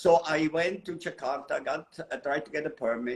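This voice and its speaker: A man talks fairly quickly while noticeable noise sounds in the background. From Switzerland, mountains. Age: 70s. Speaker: photographer. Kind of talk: interview storytelling.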